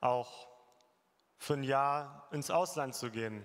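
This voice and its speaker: A man's voice with ordinary pitch variation. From Germany. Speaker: former overseas volunteer, tradesman. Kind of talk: testimony. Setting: church service with congregation.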